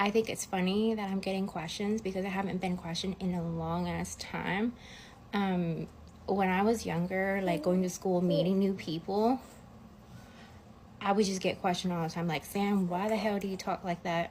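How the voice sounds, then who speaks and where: A woman's somewhat breathy voice in a monotone, flat intonation. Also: medium pitch for a woman, moderate pace. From US South, Atlanta, Georgia. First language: non-English (English is third language). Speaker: social media creator. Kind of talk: casual vlog talk. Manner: casual, filler-heavy.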